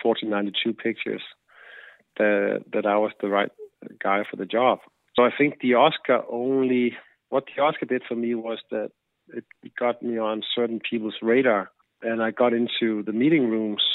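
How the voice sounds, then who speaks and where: A man at medium pitch with a Danish accent, moderate pace, fairly even intonation, and long, frequent pauses. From Denmark. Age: 40s. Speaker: film director. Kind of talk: interview. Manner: halting.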